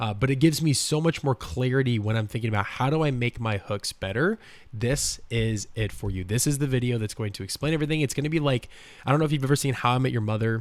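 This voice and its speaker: A man rattles along at a very fast pace on a very clean recording with a silent background. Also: medium pitch for a man, ordinary pitch variation. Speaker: content creation coach. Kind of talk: tutorial. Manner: fast, slurring words; casual, filler-heavy.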